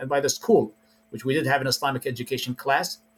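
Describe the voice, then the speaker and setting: A man talks at a medium pitch with fairly even intonation over noticeable background noise. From Iraq. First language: Arabic. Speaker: preacher. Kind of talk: interview.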